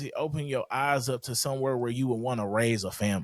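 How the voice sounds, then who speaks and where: A man's medium-pitched voice in a very clean recording with a silent background. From St. Louis, Missouri. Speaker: guest sharing life story. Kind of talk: podcast interview. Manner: loud; boisterous.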